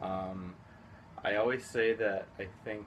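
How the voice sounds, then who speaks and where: Audible room echo carries a man's fairly low voice with a Spanish accent. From Houston, Texas. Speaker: high school teacher. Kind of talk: interview.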